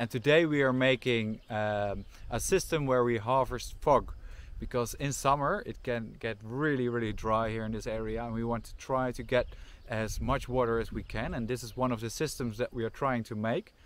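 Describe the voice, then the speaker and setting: Speaking with a Dutch accent at a moderate pace, a man keeps his intonation fairly even, and the sound is dry with no echo. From Netherlands. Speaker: farm volunteer. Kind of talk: casual vlog explanation. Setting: outdoors. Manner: halting. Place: open country. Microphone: phone near.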